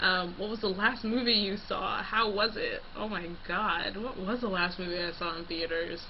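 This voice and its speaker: A moderate pace in a Californian accent, hardly any pauses, audible room echo and noticeable background noise. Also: woman, medium pitch for a woman, fairly even intonation. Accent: California. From California, Los Angeles. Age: 20s. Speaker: vlogger, college student. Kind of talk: casual vlog.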